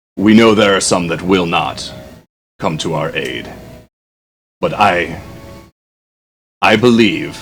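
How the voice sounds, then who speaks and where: A man's put-on character voice, fairly low in pitch, at a fairly slow pace with long, frequent pauses. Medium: actual play. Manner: formal, archaic.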